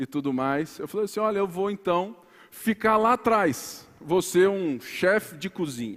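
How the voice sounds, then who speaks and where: Lively intonation from a male speaker, very clean recording, silent background. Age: 30s. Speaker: pastor. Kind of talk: sermon.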